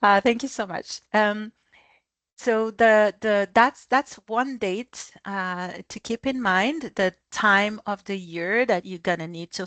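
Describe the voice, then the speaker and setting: A woman speaks at a very slow pace in medium pitch, with ordinary pitch variation and big swings in loudness. The recording is dry and close with no echo, and the background is quiet. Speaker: business expert guest speaker. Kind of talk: webinar presentation. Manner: halting, many fillers and restarts.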